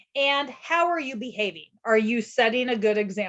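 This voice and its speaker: Her pitch fairly high for a woman, she speaks at a moderate pace with ordinary pitch variation. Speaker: podcast host, childcare consultant. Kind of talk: casual podcast chat. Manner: loud.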